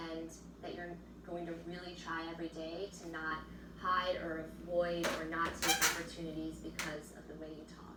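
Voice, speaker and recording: Loudness swings widely while the intonation stays monotone and flat at a moderate pace. Noticeable background noise and audible room echo are present. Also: woman, fairly low pitch for a woman. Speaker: person who stutters, interviewee. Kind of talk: interview testimony. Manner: stutter.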